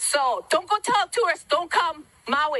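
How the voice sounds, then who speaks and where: A woman uses a raised, projected voice at an extremely high pitch, with very wide pitch swings. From Hawaii. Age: 60s. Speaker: wildfire survivor. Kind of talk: public testimony.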